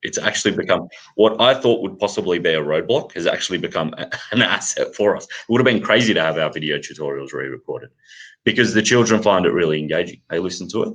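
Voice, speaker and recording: A man with an Australian accent at a very fast pace. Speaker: math curriculum company representative. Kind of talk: live Q&A session. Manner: halting.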